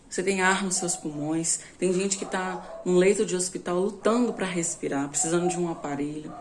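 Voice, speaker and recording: Noticeable background noise accompanies a woman speaking at a fairly low pitch and a moderate pace. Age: 20s. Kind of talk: informal bible teaching.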